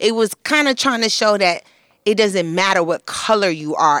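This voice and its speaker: A woman with a New York accent talks at a very fast pace in a bright, sharp tone with ordinary pitch variation. The very clean recording has a silent background and a dry, close sound with no echo. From Flatbush, Brooklyn, New York. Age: 30s. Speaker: beauty expert and lifestyle guru. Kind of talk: casual chat.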